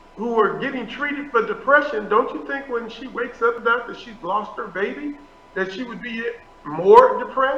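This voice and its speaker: A man with an extremely high voice projects it loudly, using lively intonation at a moderate pace. Noticeable background noise and audible room echo surround him. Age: 60s. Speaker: pastor. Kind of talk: interview.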